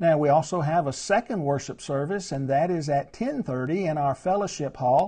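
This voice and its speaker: A man speaks at a moderate pace with lively intonation and a dark, mellow tone over a quiet background. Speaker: preacher. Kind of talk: church announcements and Bible study talk. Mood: warm, earnest. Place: home room. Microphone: lapel.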